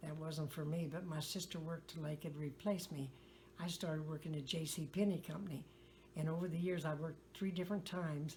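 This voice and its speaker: With an American accent, a woman speaks at a fairly quick pace in a very deep, low pitch, somewhat breathy and flat, monotone in intonation. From US Midwest, west-central Illinois. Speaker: retired farmer. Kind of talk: oral history interview. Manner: halting.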